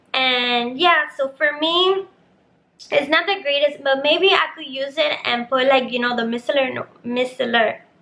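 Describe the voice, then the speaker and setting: A woman's raised, projected, high-pitched voice at a fairly slow pace. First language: Spanish. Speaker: beauty vlogger. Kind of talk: product unboxing review. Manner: casual, hesitant with fillers.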